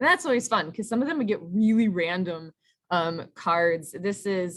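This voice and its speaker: This woman has a plain, everyday voice. She talks at a moderate pace with ordinary pitch variation. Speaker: teacher. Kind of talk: workshop presentation.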